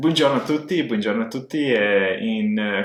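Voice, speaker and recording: A man is speaking. Background noise is noticeable. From Montenegro, Podgorica. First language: Serbian/Montenegrin (speaking Italian). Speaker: language learner vlogger. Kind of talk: personal story monologue. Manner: halting, many filler sounds.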